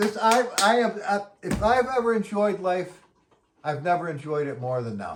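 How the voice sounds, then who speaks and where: Animated in tone, a man speaks at a fairly slow pace, high in pitch with lively intonation. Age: 60s. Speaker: musician vlogger. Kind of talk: casual monologue. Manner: halting.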